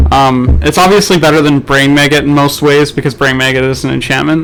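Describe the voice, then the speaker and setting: Over noticeable background noise, a man talks with a fairly high pitch. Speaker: draft commentator. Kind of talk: live commentary. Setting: live stream. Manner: loud.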